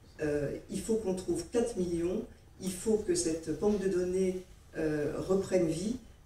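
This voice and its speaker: A woman speaks at a very slow pace. Audible room echo and noticeable background noise are in the recording. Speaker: heart patient giving testimony. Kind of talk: testimony.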